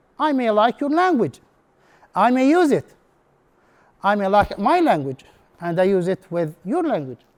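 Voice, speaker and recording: The speaker has an Arabic accent and a moderate pace. The pitch swings very widely. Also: man. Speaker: English instructor. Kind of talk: conference presentation. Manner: halting.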